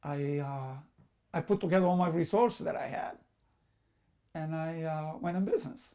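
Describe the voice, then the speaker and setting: With a Sicilian accent, a man speaks at a high pitch in a dark, mellow tone and ordinary pitch variation. His pace is moderate, broken by long, frequent pauses. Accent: Italian (Sicilian) accent in English. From Sicily, Italy. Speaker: immigrant business owner. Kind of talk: personal storytelling. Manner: halting, with fillers and repetitions.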